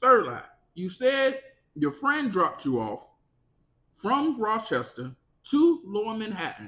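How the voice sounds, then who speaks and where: A raised, projected voice with a bright, sharp tone and an animated delivery swings very widely in pitch, moving at a fairly slow pace with long, frequent pauses. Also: man, high pitch for a man. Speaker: podcast host. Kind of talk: casual commentary. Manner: sometimes jumbles words.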